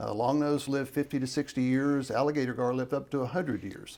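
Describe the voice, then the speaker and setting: A man talks at a fairly quick pace in a plain, everyday voice. His pitch is medium and his intonation fairly even. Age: 60s. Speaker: professor. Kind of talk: interview.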